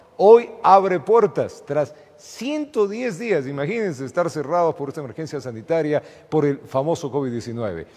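A man with a fairly high voice speaks with very wide pitch swings. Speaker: TV news anchor. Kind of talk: news presenting. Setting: studio. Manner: warm, chatty. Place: studio. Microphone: lapel.

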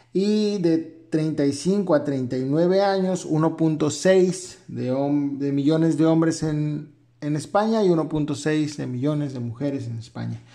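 At a very slow pace with hardly any pauses, a man speaks in a dark, mellow tone, fairly high in pitch with ordinary pitch variation. Audible room echo colors the sound. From Mexico. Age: 30s. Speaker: manga YouTuber and physician. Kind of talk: video commentary. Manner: halting, many fillers.

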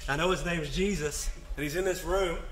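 A man talks at a moderate pace with fairly even intonation and a fairly high pitch. Audible room echo and clear background noise surround him.

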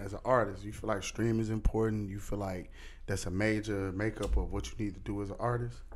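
A man with a fairly low pitch and vocal fry at a fairly quick pace, with light background noise. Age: 30s. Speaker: podcast host. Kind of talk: casual interview. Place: studio. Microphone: studio mic.

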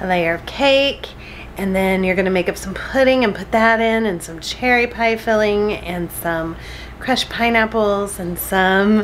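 Light background noise runs under a woman's voice. She speaks at a moderate pace with fairly even intonation. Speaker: home cooking vlogger. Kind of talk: casual vlog chat. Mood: cheerful, smiling. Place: kitchen. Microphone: phone near.

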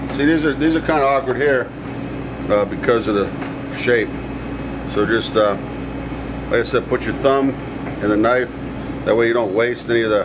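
With noticeable background noise behind him, a man talks at a moderate pace with ordinary pitch variation and long, frequent pauses. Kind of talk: cooking tutorial. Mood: warm, enthusiastic. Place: kitchen.

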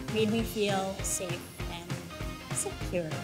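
A woman talks at a fairly slow pace with clear music in the background. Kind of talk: interview answer. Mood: cheerful, relaxed. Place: studio. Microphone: lapel.

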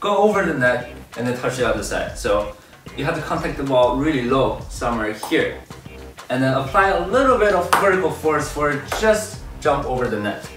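Clear music plays in the background as a man speaks, with audible room echo. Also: moderate pace. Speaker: table tennis coach. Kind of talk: tutorial. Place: gym.

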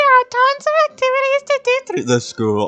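An extremely high-pitched, put-on character voice speaks at a moderate pace. Music plays in the background.

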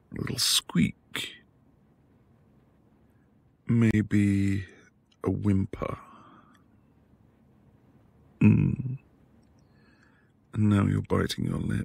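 A man puts on a character voice with a fairly low pitch, vocal fry, a slightly husky edge and a slightly mellow tone. He talks at a very slow pace with long, frequent pauses and ordinary pitch variation.

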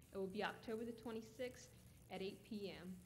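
Through noticeable background noise, a woman talks with fairly even intonation. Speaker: event announcer. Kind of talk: announcement.

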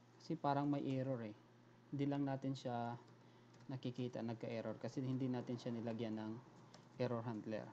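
Dark, mellow tone, monotone and flat, broken by long, frequent pauses. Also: man, medium pitch for a man. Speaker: programming tutorial YouTuber. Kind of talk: screen-recorded coding tutorial. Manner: hesitant, many fillers.

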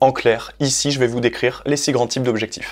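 The man's speech comes at a moderate pace, the background quiet. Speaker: sports coach educator. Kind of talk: educational explainer video. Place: home room. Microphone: lapel.

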